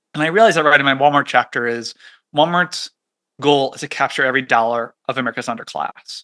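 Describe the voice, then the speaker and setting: Against a quiet background, a man talks at a very fast pace in a bright, sharp tone, with ordinary pitch variation and a dry, close sound with no echo. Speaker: economist and author. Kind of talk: podcast interview. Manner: fast when excited.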